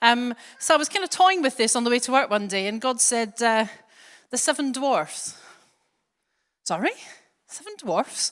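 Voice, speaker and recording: Speaking with a Glaswegian accent, a woman uses a high pitch with very wide pitch swings, keeping a moderate pace broken by long, frequent pauses. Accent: Glaswegian Scottish, soft. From Scotland. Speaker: church preacher. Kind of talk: sermon. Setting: church.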